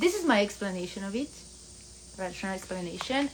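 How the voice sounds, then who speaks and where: Medium pitch from a woman against noticeable background noise. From Italy. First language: Italian. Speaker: vlogger. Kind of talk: casual vlog monologue.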